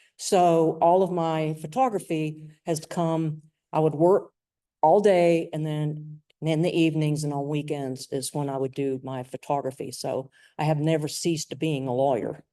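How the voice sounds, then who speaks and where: A woman with a North Carolina accent, very deep and low in pitch, dark and mellow in tone, fairly even in intonation, at a moderate pace against a quiet background. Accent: Southern US, North Carolina. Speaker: lawyer and sports photographer. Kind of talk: presentation.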